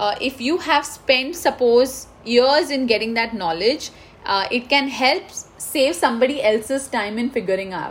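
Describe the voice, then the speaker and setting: Speaking with an Indian accent, the voice moves at a fairly slow pace with ordinary pitch variation. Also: woman. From India, Mumbai. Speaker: IT consultant, engineer. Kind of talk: interview.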